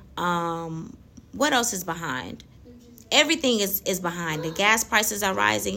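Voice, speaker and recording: Bright and sharp in tone, a woman speaks at a fairly low pitch and a moderate pace. Her pitch swings very widely, with vocal fry. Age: 30s. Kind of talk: faith talk monologue. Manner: laughs often.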